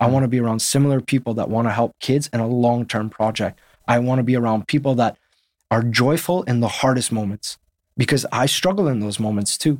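A normal speaking voice with a Canadian accent and ordinary pitch variation. The sound is dry and close with no echo, on a very clean recording with a silent background. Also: man, medium pitch for a man, fairly quick pace. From Canada, Winnipeg. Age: 30s. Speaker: football coach. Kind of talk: interview conversation.

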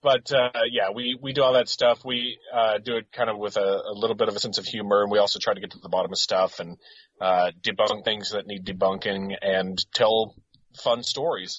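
With a plain, everyday voice, a man speaks at a moderate pace and a medium pitch, keeping his intonation fairly even. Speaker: guest. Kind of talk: casual chat.

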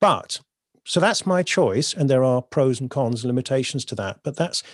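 A man with an English accent talks at a fairly quick pace with lively intonation at medium pitch, over a quiet background, in a dry, close sound with no echo. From southern England, North Devon. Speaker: poet and creative coach. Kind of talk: interview conversation.

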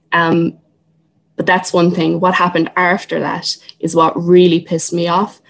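A woman in a Cork accent speaks at a moderate pace with a fairly low pitch and monotone, flat intonation. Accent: Cork Irish. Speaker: artist and Traveller activist. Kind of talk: public talk.

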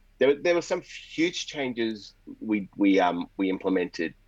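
With an Australian accent, a man talks in a fairly low register. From Melbourne, Australia (moved from India at nine). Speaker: pastor. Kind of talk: interview conversation.

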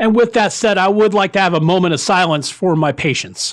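Ordinary pitch variation accompanies delivery at a moderate pace. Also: man. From US Florida. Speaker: podcast host, wargaming hobbyist. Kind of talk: casual podcast host chat and movie review. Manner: conversational, informal, mildly self-deprecating.

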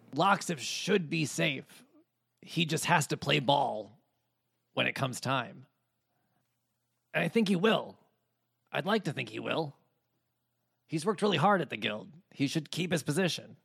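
Putting on a raspy character voice, a man uses lively intonation. He keeps a moderate pace, with long, frequent pauses. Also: fairly high pitch for a man. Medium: actual play. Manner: wry, matter-of-fact.

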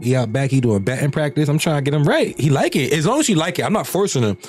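In an animated tone, a man talks at a very fast pace and a fairly high pitch. His voice is somewhat breathy, with lively intonation. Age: 30s. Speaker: podcaster. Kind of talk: casual chat. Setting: studio.

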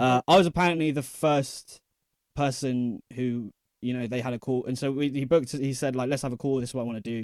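On a very clean recording with a silent background and a dry, close sound with no echo, a man in a normal speaking voice talks at a fairly quick pace, medium in pitch, with fairly even intonation. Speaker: DJ. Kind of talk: interview.

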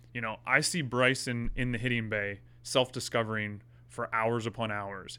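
His tone bright and sharp, a man speaks with fairly even intonation. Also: medium pitch for a man, moderate pace. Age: 30s. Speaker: golf fitness coach. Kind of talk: casual chat.

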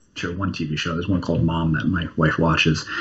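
Over noticeable background noise, a man with an American accent talks very fast in a very deep, low pitch. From New Jersey. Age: 30s. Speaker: comic book writer. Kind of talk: interview.

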